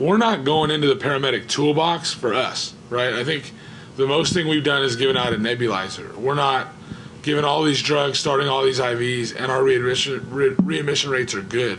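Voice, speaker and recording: The speaker has an animated tone and a fairly quick pace. Room echo is audible, along with noticeable background noise. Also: man, medium pitch for a man, ordinary pitch variation. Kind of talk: panel discussion. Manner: fast.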